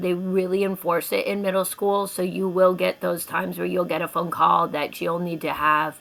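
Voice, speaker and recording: With an unremarkable speaking voice, a woman talks at a moderate pace, keeping a medium pitch and fairly even intonation. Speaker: elementary school teacher. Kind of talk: informational presentation to parents.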